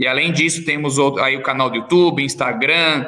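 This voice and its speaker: A man's plain, everyday voice, fairly high in pitch, with fairly even intonation and a moderate pace. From Brazil, São José dos Campos (São Paulo state). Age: 30s. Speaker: entrepreneur. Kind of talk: podcast interview.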